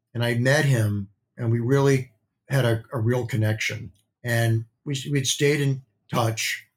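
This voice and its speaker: A man with an American accent and medium pitch speaks at a fairly slow pace. His delivery is somewhat breathy, with fairly even intonation. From US Midwest. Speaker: beauty industry executive. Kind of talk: interview.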